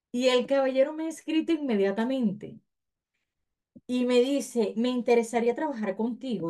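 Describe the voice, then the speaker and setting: A woman's high, dark and mellow voice at a fairly slow pace against a quiet background. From Venezuela. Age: 30s. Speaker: remote freelancer, course student; guest. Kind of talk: testimony. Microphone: webcam.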